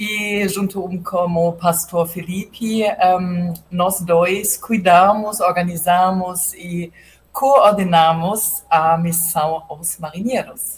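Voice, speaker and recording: With a German accent, a woman speaks very slowly at a medium pitch. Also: fairly even intonation. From Germany. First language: German (speaking Portuguese). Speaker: mission coordinator. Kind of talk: casual chat. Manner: halting, many hesitations.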